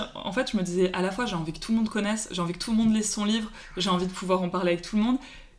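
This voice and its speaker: A woman speaks very fast at a medium pitch with fairly even intonation, against noticeable background noise. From Paris, France. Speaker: book Instagram account holder. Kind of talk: casual chat.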